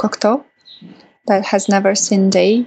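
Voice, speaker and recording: A woman's medium-pitched voice in a Russian accent. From Russia, Kaliningrad. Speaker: documentary filmmaker. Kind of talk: interview.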